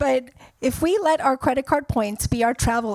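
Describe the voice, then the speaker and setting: A woman with a non-native accent talks at a fairly quick pace, her pitch varying in an ordinary way. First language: not English. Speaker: wealth advisor, panel moderator. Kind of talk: moderated panel conversation. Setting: stage with audience.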